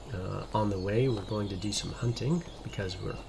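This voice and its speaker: Through noticeable background noise and audible room echo, a man speaks in a fairly low pitch. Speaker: gaming youtuber. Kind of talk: let's play commentary. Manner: whispering.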